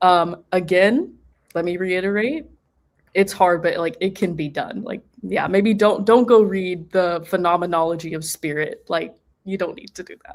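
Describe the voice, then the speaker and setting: A woman with a Texan accent and a medium pitch speaks at a moderate pace. Her pitch variation is ordinary, with big swings in loudness. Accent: Texan American. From Texas, US. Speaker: postgraduate philosophy student. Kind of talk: panel discussion. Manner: casual, filler-heavy.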